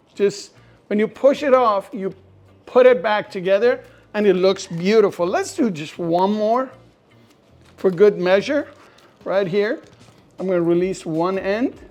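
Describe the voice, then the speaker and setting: Animated tone at a fairly slow pace, with ordinary pitch variation, long, frequent pauses and music in the background. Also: woman, medium pitch for a woman. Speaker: cooking show host. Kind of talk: cooking tutorial. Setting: home kitchen.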